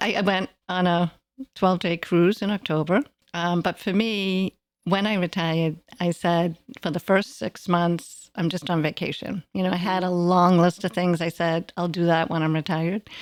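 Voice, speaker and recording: In a normal speaking voice, the speaker goes at a moderate pace with fairly even intonation, on a very clean recording with a silent background and a dry, close sound with no echo. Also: woman, fairly low pitch for a woman. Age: 60s. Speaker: retiree. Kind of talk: casual chat.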